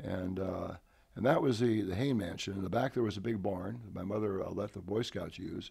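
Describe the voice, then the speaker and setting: A man's somewhat breathy, fairly low voice with an American accent, fairly quick in pace, with ordinary pitch variation. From San Francisco Peninsula, California. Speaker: retired army colonel. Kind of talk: interview. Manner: halting with fillers.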